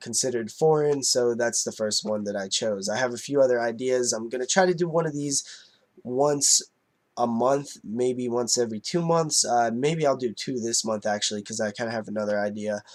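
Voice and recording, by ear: A nasal man's voice at medium pitch, moderate pace and ordinary pitch variation.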